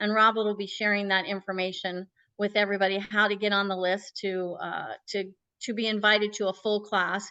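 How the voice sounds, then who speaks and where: A woman speaks at a fairly quick pace with a bright, sharp tone. Her intonation is monotone and flat, and the background is quiet. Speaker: marketing technology director. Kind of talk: presentation in a video interview; casual chat.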